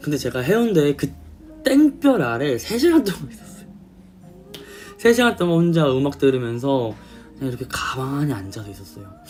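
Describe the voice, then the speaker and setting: Big swings in loudness and very wide pitch swings mark a man's fairly high-pitched voice, delivered at a moderate pace with long, frequent pauses. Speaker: K-pop idol singer. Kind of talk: casual storytelling to camera.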